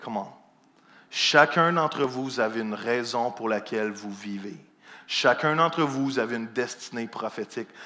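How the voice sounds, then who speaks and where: A man's medium-pitched, bright, sharp voice with ordinary pitch variation. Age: 40s. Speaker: pastor. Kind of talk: sermon. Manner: animated.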